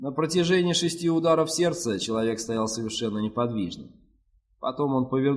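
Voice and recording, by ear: The passage is read aloud in a natural voice.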